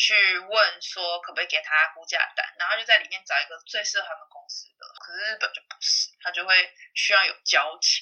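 Speaking at a fairly quick pace, a woman shifts between loud and soft in big swings. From Taiwan. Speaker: salesperson. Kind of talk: casual interview.

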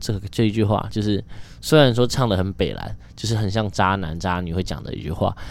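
Fairly low-pitched man with a Taiwanese accent, moderate pace and ordinary pitch variation. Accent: Taiwanese Mandarin. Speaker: podcast host. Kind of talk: casual solo monologue.

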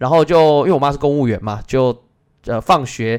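The speaker is a man with a Taiwanese accent. His pitch varies in an ordinary way. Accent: Taiwanese Mandarin. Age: 30s. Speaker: Go teacher and podcast host. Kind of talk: casual personal monologue.

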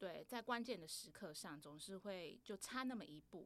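A woman speaks at a fairly slow pace in an ordinary speaking voice. Her pitch sits in the middle range, and her intonation is lively. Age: 30s. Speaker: podcast host. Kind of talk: casual chat.

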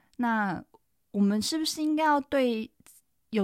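In a very clean recording with a silent background, a woman with an unremarkable speaking voice talks at a fairly slow pace with lively intonation. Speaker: podcast host and veterinarian. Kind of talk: solo podcast monologue. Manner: casual, with frequent fillers.

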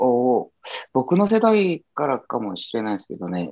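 In a quiet background, a man with a Korean accent speaks at a fairly slow pace and a medium pitch. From South Korea. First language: Korean (speaking Japanese). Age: 30s. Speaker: guest who studied Japanese. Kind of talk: casual chat.

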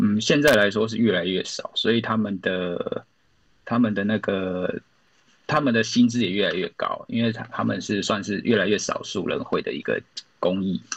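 A man speaks with a Taiwanese accent at a moderate pace. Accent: Taiwanese Mandarin. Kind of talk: podcast interview.

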